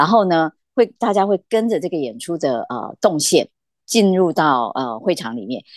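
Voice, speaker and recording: Against a quiet background, a woman with a fairly low pitch talks at a moderate pace with very wide pitch swings, in a dry, close sound with no echo. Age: 50s. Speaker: arts producer and curator, adjunct dance professor. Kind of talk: casual interview.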